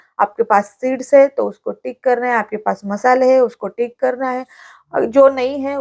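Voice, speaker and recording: The voice carries a Marathi accent and fairly even intonation. The sound is dry and close, with no echo. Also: woman. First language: Marathi (speaking Hindi). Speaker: vlogger. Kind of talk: vlog tutorial. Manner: hesitant fillers.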